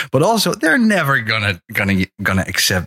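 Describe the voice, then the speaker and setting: A man with a Dutch accent speaks at a moderate pace in a bright, sharp tone. The sound is dry and close, with no echo. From Netherlands. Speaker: podcast guest. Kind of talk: casual chat.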